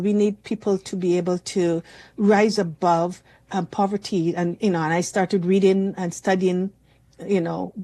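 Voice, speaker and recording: Against a quiet background, a woman speaks in a dark, mellow tone at medium pitch. Her intonation is monotone and flat, and her pace moderate. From Barbados. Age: 60s. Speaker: community advocate. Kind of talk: interview. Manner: halting, many restarts.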